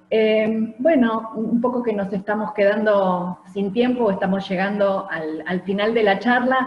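With hardly any pauses, the speech moves at a fairly slow pace with ordinary pitch variation and audible room echo. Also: woman. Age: 50s. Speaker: university program director; event host, moderator. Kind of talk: webinar moderation. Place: home room. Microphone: video call.

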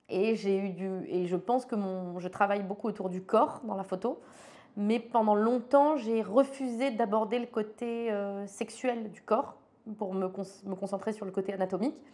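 A woman talks at a fairly slow pace with a fairly high pitch. Her tone is dark and mellow, with big swings in loudness. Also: ordinary pitch variation. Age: 40s. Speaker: photographer; interviewee. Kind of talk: interview monologue. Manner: hesitant, many fillers and repeats. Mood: candid, reflective. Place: studio.

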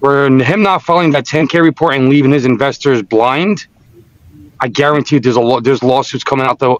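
A man with a plain, everyday voice talks at a fairly quick pace in a fairly high pitch, keeping very even loudness in a dry, close sound with no echo. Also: ordinary pitch variation. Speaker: trading group member. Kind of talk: casual chat. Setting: video call.

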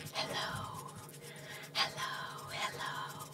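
A woman whispers at a very slow pace. Clear music plays in the background. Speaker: ASMR artist. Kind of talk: ASMR trigger word repetition. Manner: whispered. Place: home room.

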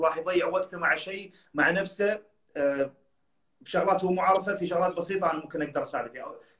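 Over a quiet background with audible room echo, a man speaks at a very fast pace with high pitch. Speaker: professional bodybuilder and personal trainer; personal trainer. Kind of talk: casual interview. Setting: Instagram live video call. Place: home room. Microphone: phone near.

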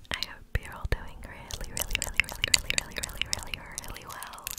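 A woman whispers at a very fast pace. Her voice is soft-spoken. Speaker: ASMR creator. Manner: soft close-mic ASMR whisper. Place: home room. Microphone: studio mic.

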